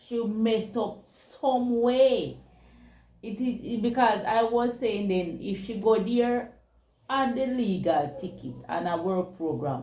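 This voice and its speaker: A woman speaks at a very slow pace with a fairly high pitch and a dark, mellow tone. Her voice is somewhat breathy, with audible room echo. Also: ordinary pitch variation. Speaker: talk show co-host. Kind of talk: casual chat.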